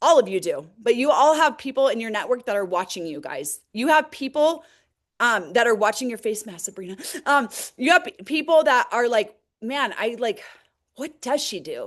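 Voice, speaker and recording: High-pitched female voice with very wide pitch swings and big swings in loudness, at a moderate pace against a quiet background. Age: 40s. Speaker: direct sales team leader. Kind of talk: motivational team call talk. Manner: casual, filler-heavy.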